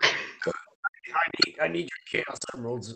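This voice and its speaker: A put-on character voice delivered at a fairly slow pace. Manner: slurred.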